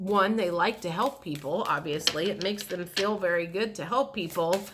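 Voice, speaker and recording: Amid noticeable background noise, a woman speaks at medium pitch with ordinary pitch variation in a calm, relaxed tone. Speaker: tarot reader. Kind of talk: tarot reading. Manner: slow.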